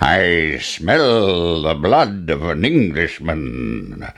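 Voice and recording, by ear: A man puts on a character voice, extremely low-pitched with big pitch swings. He talks at a very slow pace against clear background noise.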